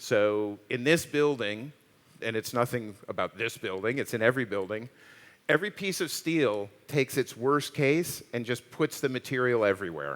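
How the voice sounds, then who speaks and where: A man's medium-pitched, plain, everyday voice with lively intonation at a moderate pace. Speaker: architect and designer, professor. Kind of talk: panel Q&A on stage.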